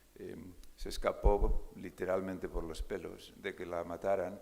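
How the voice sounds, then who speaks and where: A man speaks in a space with audible room echo. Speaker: neurologist, keynote speaker. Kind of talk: conference keynote lecture. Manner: hesitant, many fillers.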